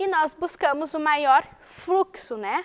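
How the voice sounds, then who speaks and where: The voice speaks at a very slow pace with lively intonation. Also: woman. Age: 20s. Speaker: math teacher. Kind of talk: lecture. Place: studio.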